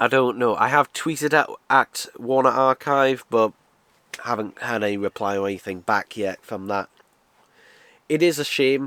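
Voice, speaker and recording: Speaking with a British accent at a moderate pace, a man with a medium pitch and a bright, sharp tone uses ordinary pitch variation and long, frequent pauses, recorded dry and close with no echo. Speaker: video reviewer. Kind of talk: casual product review. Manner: casual, lots of fillers.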